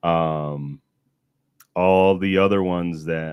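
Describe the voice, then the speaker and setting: A man's very deep, low voice with fairly even intonation, dry and close with no echo. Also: very clean recording, silent background. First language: not English. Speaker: gun rights podcast host. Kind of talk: casual live stream chat. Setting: live stream.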